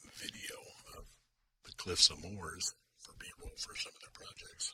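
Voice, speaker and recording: A man whispering at a fairly slow pace in a calm, relaxed tone. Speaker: commercial photographer. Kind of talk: ASMR-style calm storytelling to camera. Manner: calm, relaxed, non-whispered.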